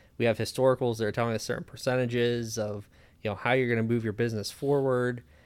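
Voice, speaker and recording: A very fast, monotone delivery with flat intonation from a man at a medium pitch with an American accent. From Pennsylvania, Lebanon County. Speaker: fractional CFO and business consultant. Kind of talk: casual interview.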